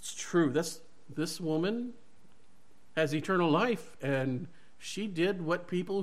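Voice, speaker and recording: A man's high, lively voice with an American accent at a fairly slow pace, in audible room echo. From US South (Mississippi). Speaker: preacher. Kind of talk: sermon. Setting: church.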